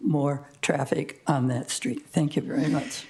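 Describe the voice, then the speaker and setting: A woman's dark, mellow voice with audible room echo. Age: 80s+. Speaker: public commenter, senior resident. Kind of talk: public comment at council meeting. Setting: city council meeting.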